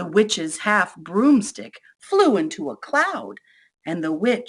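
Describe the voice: Against a quiet background, someone does plain reading aloud.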